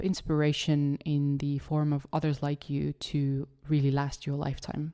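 On a very clean recording with a silent background, a woman with a slight Estonian accent speaks at a moderate pace in a very deep, low voice with a dark, mellow tone. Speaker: podcast host. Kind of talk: solo podcast monologue.

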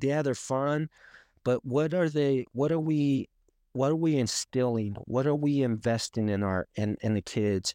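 A man with a Spanish accent speaks at a fairly slow pace with a dark, mellow tone and very even loudness. The sound is dry and close with no echo, over a quiet background. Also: medium pitch for a man, ordinary pitch variation. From Colombia (Cartagena), then Arizona. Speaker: author and former athlete. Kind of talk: interview.

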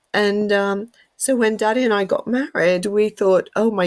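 Medium pitch and fairly even intonation in a woman's voice. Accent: English. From England. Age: 50s. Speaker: artist and painting teacher. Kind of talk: storytelling interview. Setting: remote call. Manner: laughs often, chatty.

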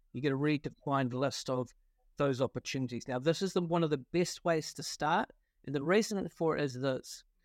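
A man with a New Zealand accent, fairly high-pitched, with ordinary pitch variation and a fairly quick pace, in a dry, close sound with no echo on a very clean recording against a silent background. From New Zealand, Wellington. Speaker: partnership consultant, company founder. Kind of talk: interview. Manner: hesitant, many fillers.

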